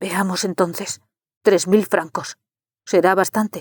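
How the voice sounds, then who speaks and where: This put-on character voice sounds female, raspy and anxious, with a Nigerian-free middle pitch and flat, monotone intonation. It moves at a fairly slow pace. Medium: read story. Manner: anxious, urgent.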